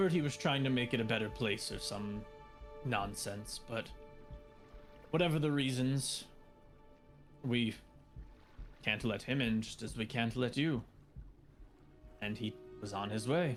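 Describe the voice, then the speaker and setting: Over clear music in the background, a man in a put-on character voice talks at medium pitch and a moderate pace, with long, frequent pauses. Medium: actual play. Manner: gruff, curt, blunt.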